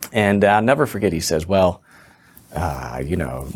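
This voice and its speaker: Vocal fry runs through a man's very deep, low voice. He speaks at a moderate pace with lively intonation. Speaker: businessman and founder. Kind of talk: casual interview chat.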